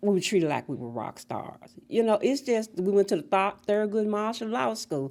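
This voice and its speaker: With an American accent, a woman in an ordinary speaking voice talks at a moderate pace with medium pitch, lively intonation and hardly any pauses. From US South, Memphis, Tennessee. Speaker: school integration pioneer. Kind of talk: oral history conversation.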